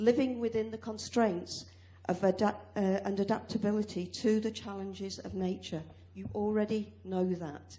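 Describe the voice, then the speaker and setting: A woman speaks at a moderate pace with a British accent. Noticeable background noise and audible room echo sit around her voice. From UK. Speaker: academic and farmer speaking from the floor. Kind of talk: conference floor contribution. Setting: conference hall with audience.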